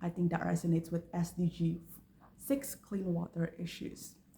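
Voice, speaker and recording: Using a fairly low pitch and vocal fry, a woman speaks at a moderate pace in a dark, mellow tone. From Indonesia. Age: 20s. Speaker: university student. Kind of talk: application introduction video.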